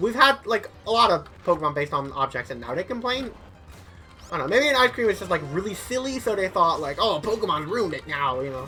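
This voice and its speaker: Over background music, a man talks very fast in a raised, projected voice, high-pitched with very wide swings in pitch. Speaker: gaming streamer. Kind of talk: let's play commentary.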